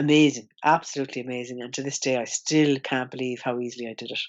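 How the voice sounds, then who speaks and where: The speaker talks at a fairly quick pace in an Irish accent. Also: woman. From Ireland. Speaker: ex-smoker sharing her story. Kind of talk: interview testimony. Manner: animated.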